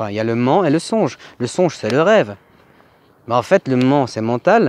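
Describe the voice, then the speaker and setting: In a dry, close sound with no echo, a man speaks at a medium pitch and moderate pace with very wide pitch swings. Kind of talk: casual chat. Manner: halting.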